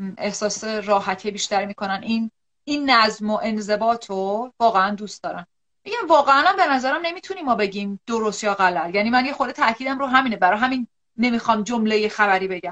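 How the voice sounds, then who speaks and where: A woman speaks in an unremarkable speaking voice at a fairly high pitch. Her pace is fairly quick, with ordinary pitch variation. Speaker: psychological counselor. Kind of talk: live-stream interview. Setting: online live video stream.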